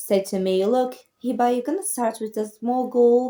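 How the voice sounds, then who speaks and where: With a non-native accent, this woman's voice is fairly high-pitched, dark and mellow in tone, and ordinary in its pitch variation. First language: not English. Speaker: motivational YouTuber. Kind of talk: motivational talk to camera. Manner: casual, conversational.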